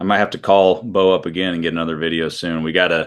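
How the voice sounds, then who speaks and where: A man with an American accent at a very fast pace. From US Midwest, Iowa. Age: 30s. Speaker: country singer-songwriter. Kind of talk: interview.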